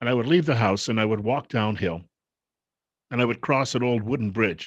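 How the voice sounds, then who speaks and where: Against a quiet background, a man speaks in a plain, everyday voice at medium pitch with ordinary pitch variation. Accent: American. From western New York, US. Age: 50s. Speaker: political commentator vlogger. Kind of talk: personal political monologue.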